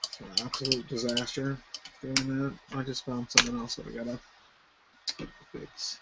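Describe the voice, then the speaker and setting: A man mumbles at a moderate pace and a medium pitch, his intonation flat and monotone. His loudness swings widely, long pauses come often, and background noise is noticeable. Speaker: miniature painting streamer. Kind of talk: live painting tutorial stream. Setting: live stream. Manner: mumbling; casual, rambling with fillers.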